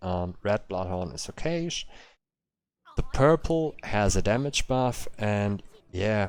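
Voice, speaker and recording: Speaking at a very slow pace, a man with a German accent has a fairly low pitch and lively intonation. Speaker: game streamer. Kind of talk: live stream commentary. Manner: halting, many fillers.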